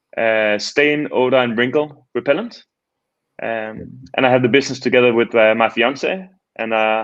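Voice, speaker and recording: This man speaks at a moderate pace with a Danish accent, his medium pitch showing ordinary variation. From Denmark. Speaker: startup founder. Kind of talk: casual interview.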